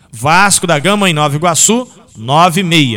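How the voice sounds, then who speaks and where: A man's fairly high voice with very wide pitch swings, an animated tone and a fairly slow pace. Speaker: sports radio host. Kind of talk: sports radio show. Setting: radio studio.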